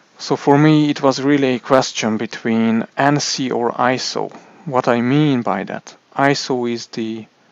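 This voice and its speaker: A man with a Hungarian accent speaks at a fairly slow pace. His intonation stays fairly even. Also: medium pitch for a man. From Hungary. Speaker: tech youtuber. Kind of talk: product review. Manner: halting, many repetitions and fillers.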